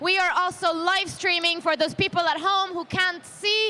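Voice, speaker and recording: A woman with a non-native accent speaks in a raised, projected voice at an extremely high pitch. Her tone is animated and her pace moderate. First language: not English. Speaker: roller derby commentator. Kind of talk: live sports commentary.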